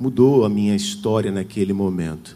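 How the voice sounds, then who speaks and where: With audible room echo, a man with a dark, mellow tone talks at a moderate pace and with ordinary pitch variation. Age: 40s. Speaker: preacher. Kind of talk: sermon.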